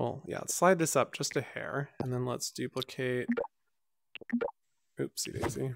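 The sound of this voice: A man speaks at medium pitch with vocal fry. His pace is fairly slow. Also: ordinary pitch variation.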